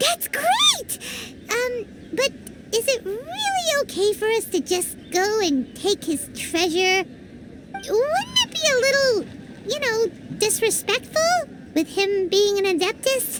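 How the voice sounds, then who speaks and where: A put-on character voice, squeaky and extremely high-pitched, moves at a fairly slow pace with long, frequent pauses. Loud background noise fills the recording. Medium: video game. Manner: lively, excitable.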